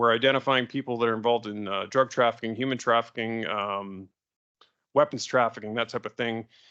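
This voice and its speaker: Bright and sharp, the voice comes in a Canadian accent at a very fast pace with fairly even intonation. The background is quiet. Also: man. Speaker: police constable, digital forensics examiner. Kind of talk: presentation to police board. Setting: public board meeting.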